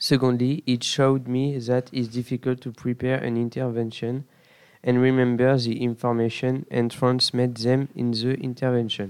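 With a French accent, a man speaks at a medium pitch in a monotone, flat intonation. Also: moderate pace. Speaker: student. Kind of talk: prepared short testimonial.

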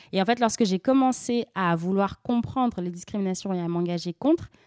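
A woman with a dark, mellow tone speaks at a moderate pace, in a dry, close sound with no echo on a very clean recording with a silent background. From France, of Senegalese family. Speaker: activist, association trainer. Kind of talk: radio interview.

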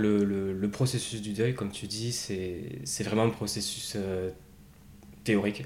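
In a room with audible echo, a man with a fairly low voice and ordinary pitch variation speaks at a very slow pace. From Basque Country, France. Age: 30s. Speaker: bereaved brother, quality manager. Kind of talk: personal testimony interview. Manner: hesitant, many fillers.

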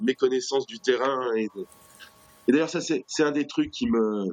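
A man talks fairly slowly in a medium voice with ordinary pitch variation, stopping for long, frequent pauses. The sound is dry and close with no echo, though background noise is noticeable. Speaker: activist spokesperson. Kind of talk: interview. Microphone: poor connection.

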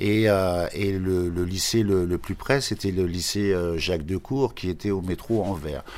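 In a very clean recording with a silent background, a man with a very deep, low voice speaks fairly slowly with hardly any pauses. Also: ordinary pitch variation. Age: 70s. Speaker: shoemaker. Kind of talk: interview testimony. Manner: halting, many repetitions.

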